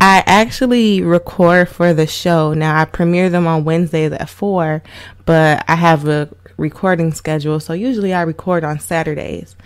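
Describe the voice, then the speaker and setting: A woman speaks at a moderate pace in a plain, everyday voice. Her pitch is fairly low. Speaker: voice actor. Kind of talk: casual podcast talk to camera. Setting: home recording with microphone. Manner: chatty, informal.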